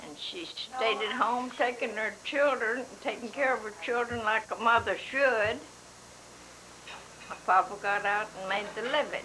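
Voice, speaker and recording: Speaking with an American accent, a woman talks at a fairly slow pace and a fairly high pitch with ordinary pitch variation. Her loudness swings widely, and there is noticeable background noise. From Oklahoma. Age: 90s. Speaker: family elder being interviewed. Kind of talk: family oral history interview.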